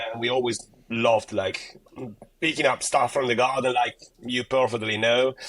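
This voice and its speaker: Here a man talks at medium pitch with an Italian accent. His pace is moderate. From Italy. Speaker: gardening content creator. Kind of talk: podcast interview. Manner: casual, many fillers and repetitions.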